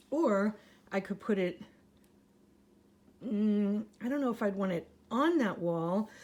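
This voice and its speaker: In a dark, mellow, medium-pitched voice, a woman speaks at a fairly slow pace with lively intonation. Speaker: vlogger. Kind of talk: casual video tour monologue. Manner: hesitant, thinking aloud.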